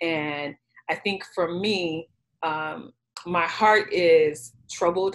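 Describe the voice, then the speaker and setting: A woman's fairly low pitch with ordinary pitch variation, at a very slow pace. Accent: American. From Chicago, South Side. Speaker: career coach. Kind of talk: group discussion.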